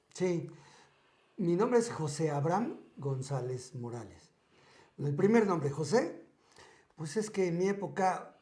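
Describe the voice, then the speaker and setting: A man's dark, mellow tone at a fairly slow pace, with lively intonation and audible room echo. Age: 60s. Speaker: podcast guest sharing life stories. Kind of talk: casual interview.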